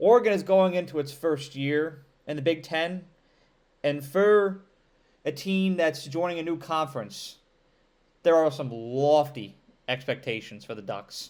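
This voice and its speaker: With an upstate New York accent, a man speaks in an animated tone at a fairly high pitch and a fairly slow pace, using lively intonation and long, frequent pauses, on a very clean recording with a silent background. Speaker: college football commentator. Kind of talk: sports analysis monologue.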